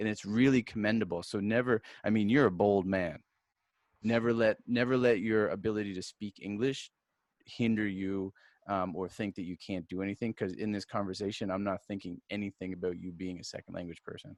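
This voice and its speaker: A plain, everyday voice at a fairly quick pace, fairly even in intonation, with a dry, close sound free of echo over a quiet background. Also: man, fairly low pitch for a man. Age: 40s. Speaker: podcast host. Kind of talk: interview.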